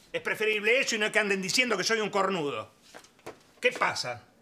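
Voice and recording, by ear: In a put-on character voice, a man talks at a fairly quick pace with a high pitch, big pitch swings and a bright, sharp tone.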